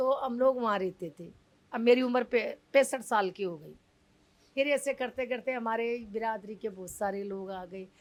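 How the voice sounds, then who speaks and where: A woman with a fairly high pitch and an ordinary speaking voice shows ordinary pitch variation and big swings in loudness. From Delhi, family from Rajasthan. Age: 60s. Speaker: community leader of puppeteer colony. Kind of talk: interview.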